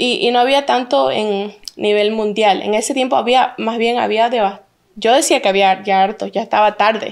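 Over a quiet background, a woman's fairly high-pitched voice shows ordinary pitch variation. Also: moderate pace. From Santa Cruz, Bolivia; raised in Orlando, Florida from age 7. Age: 20s. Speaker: plus-size model and influencer; influencer. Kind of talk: interview. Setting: at her home. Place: studio. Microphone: handheld.

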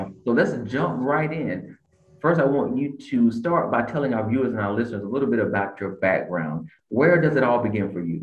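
The voice moves at a fairly quick pace with lively intonation. There is audible room echo over a quiet background. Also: man. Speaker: podcast host. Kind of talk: podcast interview questions. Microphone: video call.

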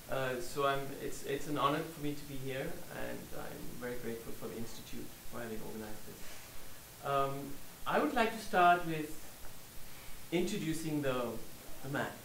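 With audible room echo and light background noise, a man speaks at a fairly high pitch and moderate pace, showing ordinary pitch variation and long, frequent pauses. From Germany. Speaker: scholar and author. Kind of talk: lecture. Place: meeting room.

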